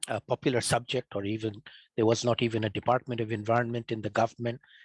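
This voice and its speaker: A man's medium-pitched voice with a Bengali accent, very fast and monotone, flat in intonation, with a dry, close sound and no echo. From Bangladesh. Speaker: climate scientist. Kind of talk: lecture.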